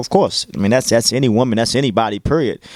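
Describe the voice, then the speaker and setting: Talking at a very fast pace with a Baltimore accent, a man is heard on a very clean recording with a silent background, the sound dry and close with no echo. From Baltimore, Maryland, US. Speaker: radio DJ. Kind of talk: interview.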